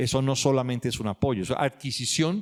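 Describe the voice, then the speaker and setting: Ordinary pitch variation shapes a man's speech, which moves at a fairly quick pace. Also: dry, close sound with no echo. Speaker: author and historian. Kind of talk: book launch talk. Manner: fast.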